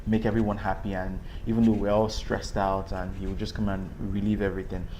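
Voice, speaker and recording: Audible room echo surrounds a man who talks fairly quickly at a fairly low pitch with monotone, flat intonation. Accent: Nigerian. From Nigeria. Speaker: actor. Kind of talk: interview. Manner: hesitant, many fillers.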